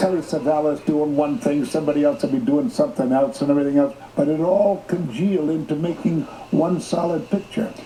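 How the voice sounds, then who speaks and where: Against noticeable background noise, a man with a fairly high pitch speaks at a fairly quick pace with very even loudness and ordinary pitch variation. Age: 80s+. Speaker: actor. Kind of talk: interview answer.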